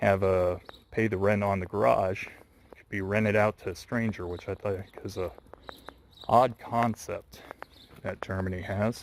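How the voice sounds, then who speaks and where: Over noticeable background noise, a man talks fairly slowly in a flat monotone, his loudness swinging widely. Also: fairly low pitch for a man. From US West, Las Vegas. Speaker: vlogger. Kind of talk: walking vlog narration. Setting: outdoors walking.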